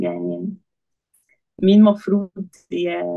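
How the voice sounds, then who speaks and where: A woman talks at a moderate pace. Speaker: engineering master's student. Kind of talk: casual podcast conversation.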